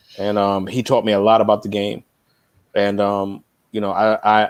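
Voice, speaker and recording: A man with a New York accent speaks at a moderate pace in a fairly low pitch. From New York (Queens). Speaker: music industry veteran. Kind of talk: interview.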